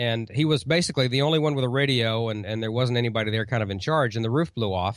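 Delivered with an American accent, the speech runs at a very fast pace with hardly any pauses. Pitch varies in an ordinary way. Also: man, medium pitch for a man. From Oklahoma. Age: 50s. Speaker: radio commercial producer and ham radio news presenter. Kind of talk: casual interview chat. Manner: hesitant, many fillers and repetitions.

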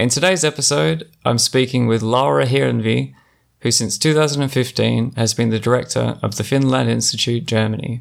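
This man speaks in an Australian accent at a very even loudness. The recording is very clean, the background silent. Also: medium pitch for a man, lively intonation, fairly quick pace. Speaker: podcast host and gallery director. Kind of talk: scripted introduction; interview conversation.

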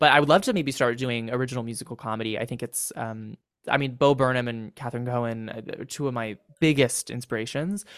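A man speaks very fast with a Californian accent. His loudness swings widely while his pitch varies in an ordinary way. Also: medium pitch for a man, very clean recording, silent background. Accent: General American (California). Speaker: TikTok comedy creator and actor. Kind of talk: casual chat.

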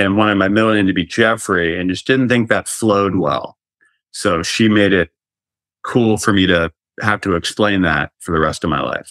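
A man talks with an American accent at a fairly low pitch and a moderate pace. The background is quiet, and the sound is dry and close with no echo. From North Carolina. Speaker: TV host and actor. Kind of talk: casual chat. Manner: animated.

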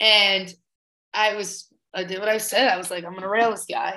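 A woman talks at a fairly quick pace with a normal speaking voice. Her pitch is medium, with ordinary variation. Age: 20s. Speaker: comedian. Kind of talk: casual chat. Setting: video call.

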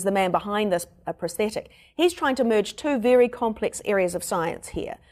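The intonation is lively. It is a very clean recording with a silent background. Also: woman. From New Zealand. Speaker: podcast host and reporter. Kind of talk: casual chat and reporting. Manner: animated, joking.

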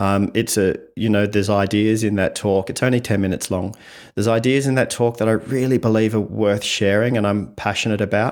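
A man with an Australian accent speaks at a fairly quick pace in a fairly low pitch, with monotone, flat intonation, on a very clean recording with a silent background. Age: 50s. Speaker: communication coach. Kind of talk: podcast interview.

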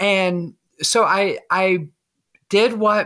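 With a bright, sharp tone, a woman speaks using ordinary pitch variation. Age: 40s. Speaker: army veteran and HR manager. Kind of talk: personal testimony in interview. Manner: halting, many fillers.

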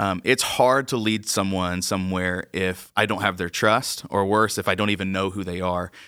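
The recording is very clean, with a silent background. A man with an American accent speaks at a moderate pace in a very deep, low pitch, with a bright, sharp tone and fairly even intonation. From Georgia, US South. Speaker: church worship leader. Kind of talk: interview conversation.

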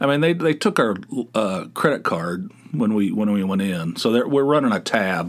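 Very wide pitch swings mark this man's fairly low voice. He keeps a moderate pace. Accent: American. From West Virginia. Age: 60s. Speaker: podcast host. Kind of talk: casual monologue. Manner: rambling, halting.

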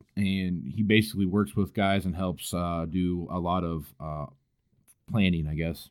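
In a Kansas accent, a man speaks at a fairly slow pace with a very deep, low pitch and fairly even intonation, captured in a very clean recording with a silent background. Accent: Midwestern American, Kansas. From Kansas, El Dorado near Wichita. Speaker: agricultural podcast host. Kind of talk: casual interview. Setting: basement home studio.

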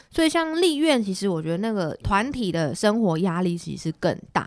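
A woman of medium pitch with very wide pitch swings at a moderate pace, music playing in the background. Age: 20s. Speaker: city councillor. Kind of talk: interview.

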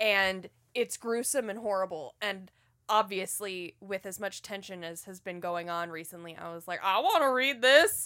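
The speech moves at a moderate pace with ordinary pitch variation. Loudness swings widely from moment to moment. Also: woman, medium pitch for a woman. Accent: American. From US South. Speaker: comic book podcast host. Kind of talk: casual chat.

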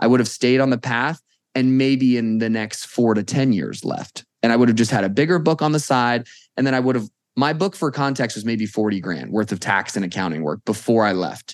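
Over a quiet background, a man with an ordinary speaking voice and an American accent talks fairly quickly at a medium pitch with ordinary pitch variation. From Las Vegas, US. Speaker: accountant. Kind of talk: interview.

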